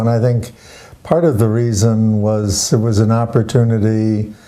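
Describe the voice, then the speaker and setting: Room echo is audible as a man speaks at a moderate pace and medium pitch. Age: 80s+. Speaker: retired doctor. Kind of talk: interview.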